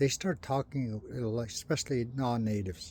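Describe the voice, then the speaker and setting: With ordinary pitch variation, a man talks in a somewhat breathy way. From Canada, First Nations. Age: 60s. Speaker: residential school survivor vlogger. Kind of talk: personal monologue vlog. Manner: halting, many fillers.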